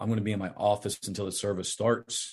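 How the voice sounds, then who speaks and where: A man's fairly low-pitched, plain, everyday voice with an American accent, at a fairly quick pace. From southeastern Ohio. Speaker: pastor. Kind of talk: interview testimony.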